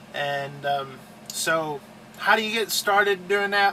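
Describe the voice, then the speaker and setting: A man with an American accent and ordinary pitch variation, amid noticeable background noise. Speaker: truck driver and video host. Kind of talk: casual tutorial. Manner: slow; halting, filler-heavy.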